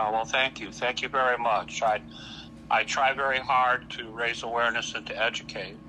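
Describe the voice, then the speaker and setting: There is noticeable background noise as a man speaks with an American accent. His pitch is medium and his pace moderate. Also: fairly even intonation. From US Midwest, Hammond, Indiana. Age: 60s. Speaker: kidney patient advocate. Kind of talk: podcast interview. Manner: halting, with repetitions.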